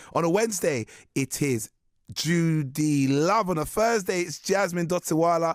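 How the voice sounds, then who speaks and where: Speaking with a London accent at a moderate pace, a man has a high pitch and ordinary pitch variation, in a very clean recording with a silent background and a dry, close sound with no echo. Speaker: radio host. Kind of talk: radio interview. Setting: radio studio.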